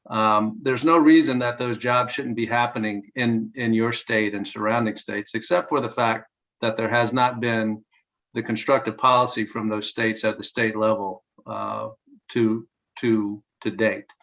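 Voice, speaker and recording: A man's voice with a Southern US accent and fairly even intonation. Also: medium pitch for a man, moderate pace. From North Carolina. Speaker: clean energy advocacy spokesperson. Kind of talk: press briefing.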